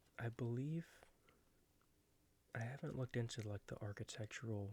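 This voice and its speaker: Soft-spoken and somewhat breathy, this man has a dark, mellow tone. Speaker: ASMR creator and baseball fan. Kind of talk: ASMR book flip-through, casual talk to camera.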